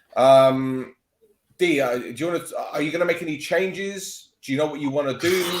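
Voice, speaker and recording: A fairly high-pitched man speaks at a fairly quick pace with ordinary pitch variation, and audible room echo surrounds him. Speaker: football podcast host. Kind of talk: casual chat.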